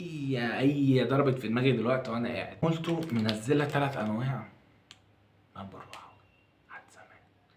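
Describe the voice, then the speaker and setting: A man speaks quietly at a moderate pace and medium pitch, with ordinary pitch variation, audible room echo and noticeable background noise. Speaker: food reviewer YouTuber. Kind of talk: casual food review vlog. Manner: lowered voice, quiet.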